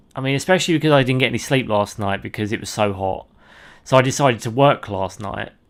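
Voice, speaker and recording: A man speaks at a fairly quick pace with a British accent. The recording is very clean, with a silent background. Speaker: video game streamer. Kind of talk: gameplay commentary. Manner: rambling, halting.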